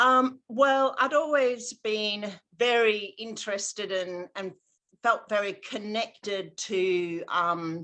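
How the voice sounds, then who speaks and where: In an Australian accent, a woman speaks very slowly in a bright, sharp tone, her fairly high pitch showing ordinary pitch variation. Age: 60s. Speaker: astrologer. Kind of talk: interview.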